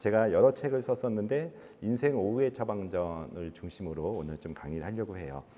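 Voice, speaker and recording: This man speaks at a moderate pace with a fairly low pitch and lively intonation. His tone is dark and mellow. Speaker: physician and author. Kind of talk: lecture. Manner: conversational with filler 'uh'.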